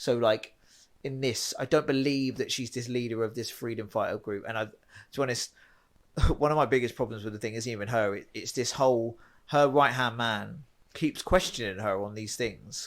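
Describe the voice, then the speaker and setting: With a Home Counties accent, this man talks at a medium pitch with fairly even intonation. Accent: home counties English (Hertfordshire). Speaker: film podcast co-host. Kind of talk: casual chat. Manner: fast, halting with many restarts.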